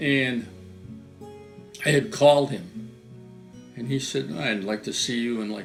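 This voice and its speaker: The speaker's intonation is lively. Behind the voice, music can be heard. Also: man. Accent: Western New York. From Western New York, USA. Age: 80s+. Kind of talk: interview answer.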